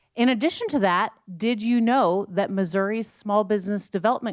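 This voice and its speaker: With an American accent, a woman talks at a moderate pace in an ordinary speaking voice at medium pitch, the background quiet. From rural Iowa and rural Scotland. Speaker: economics professor. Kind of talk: panel talk.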